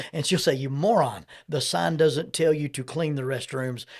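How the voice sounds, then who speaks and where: A normal speaking voice comes from a man at a fairly high pitch and a moderate pace, with ordinary pitch variation. The recording is very clean, with a silent background. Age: 60s. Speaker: counselor and podcast host. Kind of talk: interview conversation.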